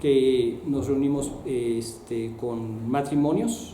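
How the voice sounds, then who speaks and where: A man speaks at a very slow pace, with audible room echo and noticeable background noise. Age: 60s. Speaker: missionary. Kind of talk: testimony. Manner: halting.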